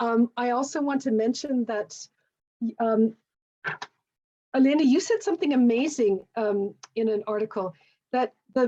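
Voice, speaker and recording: In a Canadian accent, a woman with a high-pitched voice and a dark, mellow tone speaks at a fairly slow pace with ordinary pitch variation and long, frequent pauses, the sound dry and close with no echo. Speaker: panel moderator, professor and actor. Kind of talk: panel moderation on a video call. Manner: hesitant, many fillers and repeats.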